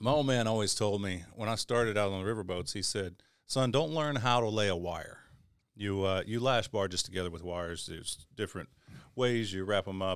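With an Arkansas accent, a man speaks at a fairly quick pace. His pitch is fairly low, with ordinary variation. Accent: Southern US (Arkansas). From Northeast Arkansas, US South. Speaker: crane operator. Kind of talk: casual chat.

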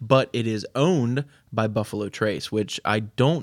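A fairly low male voice with an American accent and ordinary pitch variation, on a very clean recording with a silent background. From Maryland, Baltimore County. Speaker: podcast host. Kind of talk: casual chat.

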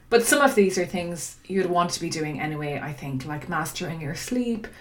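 In an Irish accent, a woman of medium pitch speaks with lively intonation, amid noticeable background noise and audible room echo. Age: 40s. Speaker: podcast host. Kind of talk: solo podcast monologue.

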